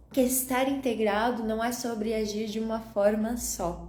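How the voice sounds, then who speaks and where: In a calm, gentle tone, a woman speaks at a moderate pace with a fairly high pitch and fairly even intonation. Room echo is audible. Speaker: holistic wellness coach. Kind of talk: live stream talk. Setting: Instagram live.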